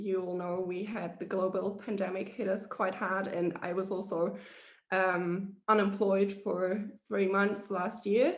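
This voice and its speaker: Audible room echo follows a woman speaking at a fairly slow pace. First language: not English. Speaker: hospitality professional, mentee. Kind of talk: panel presentation on video call. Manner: halting, many fillers.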